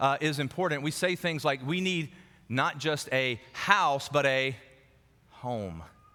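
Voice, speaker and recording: With an American accent, a man speaks in a bright, sharp, animated tone, his pitch varying in an ordinary way. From US South, South Carolina. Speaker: pastor. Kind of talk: sermon. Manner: repetitive, halting fillers.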